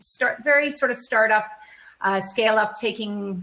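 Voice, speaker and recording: Through noticeable background noise, a woman with a North American accent speaks at a fairly high pitch and moderate pace, with ordinary pitch variation. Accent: North American, could pass for US. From Canada. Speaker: e-commerce executive, panelist. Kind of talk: panel discussion.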